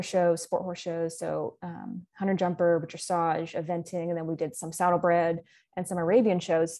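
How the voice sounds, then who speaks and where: A woman speaks with a Texan accent at a moderate pace in a fairly low pitch. Her intonation is monotone and flat, and the background is quiet. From Texas, Dallas-Fort Worth area. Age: 20s. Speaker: western boot company content developer. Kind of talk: casual interview.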